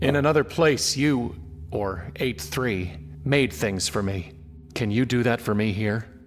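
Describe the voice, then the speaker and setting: Clear background noise sits behind the recording. A man uses a put-on character voice, fairly low in pitch and at a fairly slow pace. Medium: video game.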